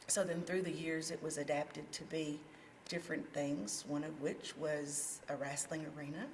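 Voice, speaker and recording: In a room with audible echo and noticeable background noise, a woman speaks with a very deep, low pitch at a fairly slow pace. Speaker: community theatre president. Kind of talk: casual interview.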